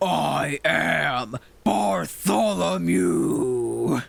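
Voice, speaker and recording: In a put-on character voice, a man bellows and shouts in a medium pitch. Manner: screaming.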